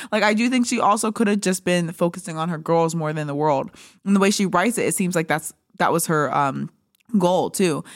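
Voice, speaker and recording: A woman talks at a fairly quick pace and fairly low pitch with ordinary pitch variation, a normal speaking voice on a very clean recording with a silent background. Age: 20s. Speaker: podcast host. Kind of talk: casual chat. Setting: studio.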